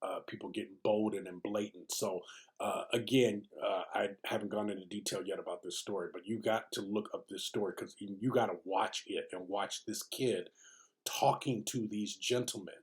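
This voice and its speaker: Soft-spoken, a man talks at a moderate pace. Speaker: video diary vlogger. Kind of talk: casual vlog monologue. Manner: halting, many fillers.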